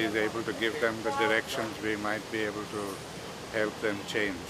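A man is speaking over loud background noise. The sound itself is dry, with no echo. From India. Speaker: peace activist. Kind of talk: interview answer. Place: garden.

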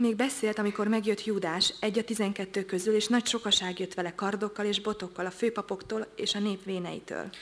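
At a very fast pace with hardly any pauses, a woman talks at medium pitch in a monotone, flat intonation. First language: Hungarian. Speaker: interpreter. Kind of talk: sermon interpretation; sermon interpretation and scripture reading. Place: church.

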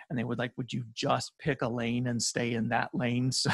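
A man speaks against a quiet background, the sound dry with no echo. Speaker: guest. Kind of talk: interview answer. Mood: relaxed, occasional laughs. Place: studio.

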